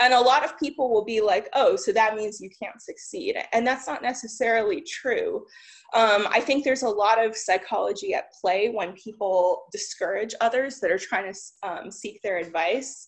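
With lively intonation and a fairly high pitch, a woman speaks at a moderate pace over a quiet background. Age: 30s. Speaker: tech entrepreneur. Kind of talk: conference talk. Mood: encouraging, relaxed. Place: home room. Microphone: webcam.

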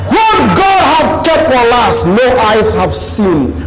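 Loud background noise sits under a man's voice. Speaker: preacher. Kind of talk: sermon. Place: studio.

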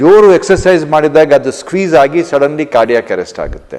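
A man talks with a fairly high pitch and ordinary pitch variation. He has a normal speaking voice. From India. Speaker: cardiac surgeon. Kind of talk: health awareness talk.

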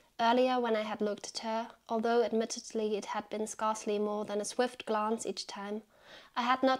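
A woman speaks at a moderate pace in a flat monotone. Behind her the background is quiet. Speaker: book reviewer. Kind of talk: book review video with literary reading aloud. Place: home room.

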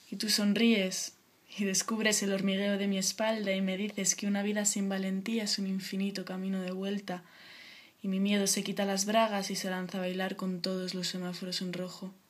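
A woman speaks in a monotone. Her voice is flat and somewhat breathy. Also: moderate pace. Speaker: poet. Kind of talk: spoken word poem reading. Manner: intimate, sensual, lyrical delivery. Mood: soft, intimate. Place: home room. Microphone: webcam.

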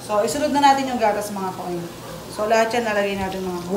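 A woman speaks with ordinary pitch variation. Noticeable background noise is present. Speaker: home cook vlogger. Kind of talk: casual cooking tutorial chat. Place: kitchen. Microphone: phone near.

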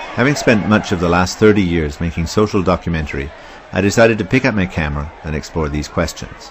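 Over noticeable background noise, a man with a Canadian accent talks very fast in a very deep, low voice with ordinary pitch variation. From Ontario, Canada. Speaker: documentary filmmaker. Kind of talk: documentary narration.

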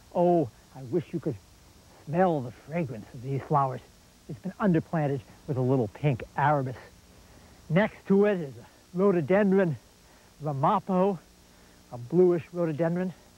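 A man's dark, mellow tone at a moderate pace, with long, frequent pauses and a dry sound with no echo. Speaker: garden show host. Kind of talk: tutorial. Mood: warm, enthusiastic. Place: garden. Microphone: lapel.

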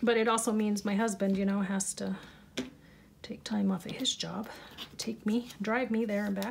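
A somewhat breathy, fairly high-pitched woman's voice at a moderate pace, flat and monotone, with long, frequent pauses. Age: 50s. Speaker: crafting YouTuber. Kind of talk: crafting tutorial. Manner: casual, chatty.

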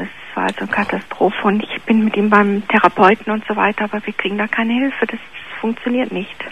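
A woman's flat, monotone voice at medium pitch, fairly quick pace, noticeable background noise. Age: 50s. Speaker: caller. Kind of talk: worried personal story by phone. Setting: phone call.

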